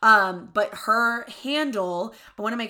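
With a Southern US accent, a woman sounds animated, her tone bright and sharp and her pitch variation ordinary. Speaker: podcast host. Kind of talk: casual chat.

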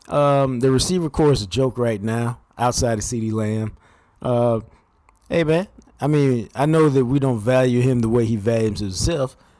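A man talks at a moderate pace in a plain, everyday voice. His pitch sits in the medium range and varies an ordinary amount. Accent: American. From Texas, Dallas-Fort Worth. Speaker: sports journalist. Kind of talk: casual chat.

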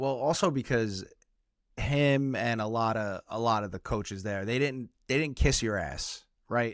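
On a very clean recording with a silent background, a man with an unremarkable speaking voice talks at a fairly slow pace, with medium pitch and ordinary pitch variation. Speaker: podcast host. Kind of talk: casual chat.

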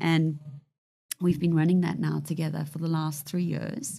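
The speaker is a woman with a fairly low pitch. Vocal fry runs through her voice. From South Africa, moved to the UK in 1999. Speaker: hedge fund director. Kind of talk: interview.

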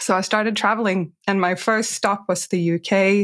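On a very clean recording with a silent background, a woman talks at a medium pitch with a Swedish accent. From Sweden. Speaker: career transition coach. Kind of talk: interview.

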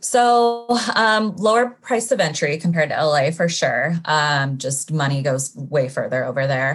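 A woman with a very deep, low pitch and a Californian accent, very wide pitch swings, a fairly slow pace and hardly any pauses, over noticeable background noise. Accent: General American (California). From Sacramento, California. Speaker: nurse administrator and real estate investor. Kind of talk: interview.

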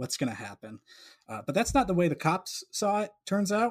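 The speaker is a man with an American accent. Lively intonation runs through his speech. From Colorado (Boulder). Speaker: artist. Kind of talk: casual chat. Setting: video call.

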